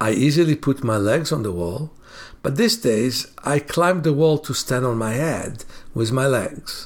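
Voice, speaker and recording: A man talks in an ordinary speaking voice at a fairly high pitch. His intonation is lively. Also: fairly slow pace. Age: 60s. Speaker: self-healing teacher. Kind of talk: casual monologue; sales pitch.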